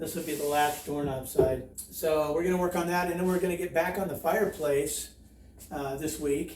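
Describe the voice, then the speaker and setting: In a room with audible echo and noticeable background noise, a man speaks at a moderate pace with a fairly high pitch and fairly even intonation. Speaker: DIY home renovation YouTuber. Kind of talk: tutorial. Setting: outdoors by a creek.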